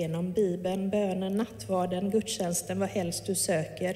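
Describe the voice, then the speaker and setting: A woman speaks at a fairly slow pace and a medium pitch, with audible room echo and noticeable background noise. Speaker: pastor. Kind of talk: sermon.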